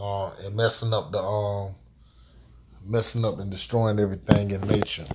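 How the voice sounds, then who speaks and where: A somewhat breathy voice at a moderate pace. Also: man. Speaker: live streamer. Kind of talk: casual live stream talk. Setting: live stream. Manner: halting, repetitive.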